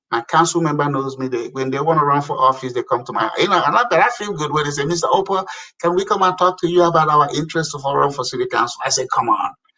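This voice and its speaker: A man talks at a very fast pace in an animated tone. His voice is bright and sharp, with ordinary pitch variation. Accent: African. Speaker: African immigrant community leader and public appointee. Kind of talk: casual interview chat. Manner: animated, emphatic.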